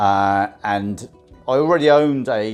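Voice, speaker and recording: Music plays behind a man with a Southern English accent whose fairly low voice shows ordinary pitch variation. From Southampton, England. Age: 50s. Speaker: van dweller and cycle tourer. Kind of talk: casual talk to camera.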